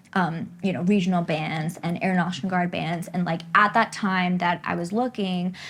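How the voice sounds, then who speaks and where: A woman with a plain, everyday voice and an American accent speaks at a moderate pace with hardly any pauses. Her fairly low pitch carries fairly even intonation on a very clean recording with a silent background. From US East Coast. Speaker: flutist and pianist. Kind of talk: casual interview.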